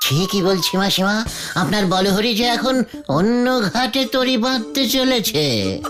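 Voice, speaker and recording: Clear music plays in the background as a man does a cartoonish character voice, high-pitched and fairly slow. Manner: stammering, giggly, wheedling.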